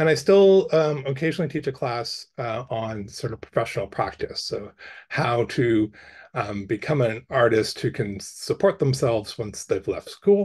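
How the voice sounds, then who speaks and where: With lively intonation, a man speaks in a somewhat breathy voice. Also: medium pitch for a man, quiet background. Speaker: arts council officer and artist giving a workshop. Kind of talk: workshop presentation. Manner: fast, rambling; hesitant, many fillers.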